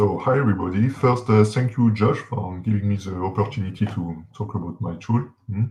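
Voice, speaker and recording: In a French accent, a man with a fairly low pitch talks with hardly any pauses and ordinary pitch variation. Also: fairly quick pace. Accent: French accent, noticeable. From France. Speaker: software developer; guest. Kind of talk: interview, introducing himself. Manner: halting, many fillers. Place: home room. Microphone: video call.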